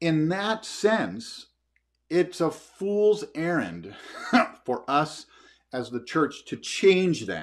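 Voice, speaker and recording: A man speaks at a very slow pace with very wide pitch swings. The background is quiet. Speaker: pastor. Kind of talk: sermon. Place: home room. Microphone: camera far.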